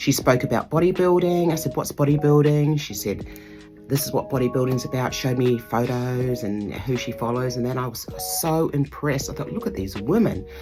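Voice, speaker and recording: A woman's very deep, low voice in an Australian accent, with lively intonation at a fairly quick pace, over music in the background. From Southern Tasmania, Australia. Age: 50s. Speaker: bodybuilding competitor. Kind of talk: interview answer. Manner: hesitant, conversational.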